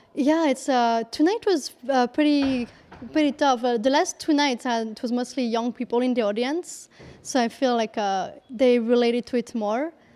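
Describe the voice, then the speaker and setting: A woman's high voice in a French accent, dark and mellow in tone, at a moderate pace with ordinary pitch variation. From France. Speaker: comedian. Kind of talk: interview. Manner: halting, many fillers.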